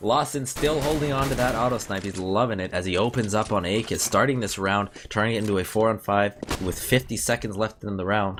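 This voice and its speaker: There is noticeable background noise as a man with a fairly low voice talks. He moves along at a fairly quick pace with hardly any pauses. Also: ordinary pitch variation. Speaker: esports commentator. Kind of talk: live commentary; casual sign-off. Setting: live stream. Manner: fast.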